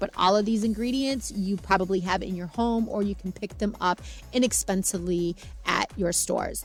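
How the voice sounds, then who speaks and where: Using ordinary pitch variation, a woman speaks at a medium pitch. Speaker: cleaning and homemaking vlogger. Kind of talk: tutorial voiceover. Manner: fast; casual.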